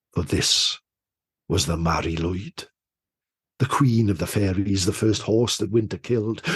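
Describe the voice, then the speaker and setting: There's a somewhat breathy quality to this man's voice, which shows ordinary pitch variation. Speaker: storyteller. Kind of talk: folk tale storytelling. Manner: atmospheric, measured narration.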